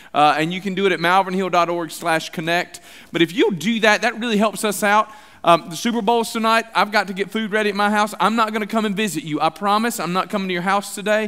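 Against a quiet background, a man speaks very fast in a raised, projected voice. His tone is bright and sharp, with fairly even intonation. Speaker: senior pastor. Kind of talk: sermon announcements. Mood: light, joking. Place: church.

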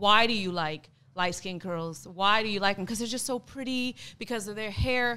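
A woman's bright, sharp voice with an American accent and ordinary pitch variation. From United States. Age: 20s. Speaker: teacher, panel guest. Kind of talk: casual debate. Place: studio. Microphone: studio mic.

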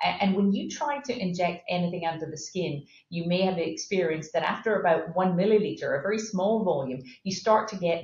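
Somewhat breathy, a woman with an American accent talks at a fairly quick pace amid audible room echo. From Scotland. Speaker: pharmaceutical company CEO; guest. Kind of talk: interview. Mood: calm, explanatory. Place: office. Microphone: webcam.

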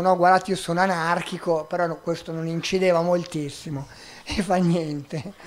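A man's high voice with fairly even intonation. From Milan, northern Italy. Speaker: migrant rights activist; guest, volunteer lawyer. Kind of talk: public talk; public talk answer. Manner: halting. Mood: calm, wry. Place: stage. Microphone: handheld.

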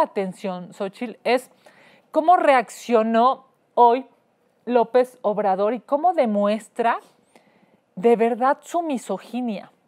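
A woman speaks in a Mexican accent at a high pitch with lively intonation. Her pace is very slow, with long, frequent pauses. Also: quiet background. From Mexico. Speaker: host and politician. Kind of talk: rally or protest speech, denouncing president. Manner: indignant, forceful, declamatory. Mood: indignant, emphatic. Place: studio.

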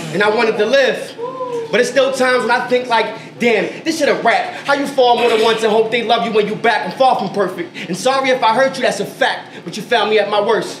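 Noticeable background noise sits under the speech. The speaker moves at a fairly quick pace. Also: man, extremely high pitch for a man, ordinary pitch variation. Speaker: poet. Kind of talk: spoken word performance. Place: shop.

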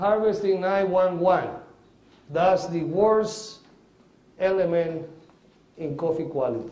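The speaker has a Spanish accent and ordinary pitch variation, and audible room echo surrounds the voice. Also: man. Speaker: coffee agronomist and farmer; conference presenter. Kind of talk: lecture. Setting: stage with audience. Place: hall.

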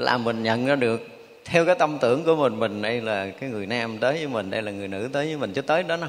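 Words pour out of this man at a very fast rate. The rise and fall of his pitch is ordinary. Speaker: monk teacher. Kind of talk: sermon. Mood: warm, smiling. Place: hall.

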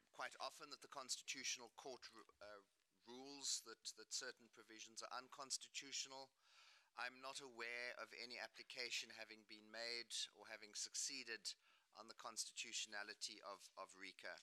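A man with a bright, sharp tone, fairly even intonation and a moderate pace. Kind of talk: formal delegation answer. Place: meeting room. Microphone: podium.

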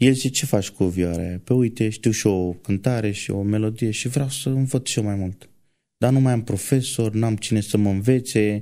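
In an unremarkable speaking voice, a man talks at a moderate pace and fairly low pitch with ordinary pitch variation, in a very clean recording with a silent background. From rural Romania. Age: 20s. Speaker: truck driver and church violinist. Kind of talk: testimony.

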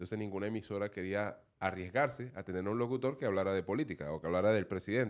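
A man with a fairly low pitch and ordinary pitch variation, over a quiet background. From Venezuela. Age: 50s. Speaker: radio and TV comedian; radio, TV comedian. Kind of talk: casual interview chat. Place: studio. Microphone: studio mic.

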